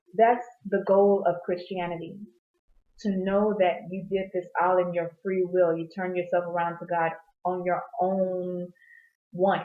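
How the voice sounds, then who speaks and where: A woman speaks at a fairly low pitch. Her intonation is monotone and flat. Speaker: Bible devotional vlogger. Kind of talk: unscripted Bible reflection. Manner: fast; casual, off-the-cuff.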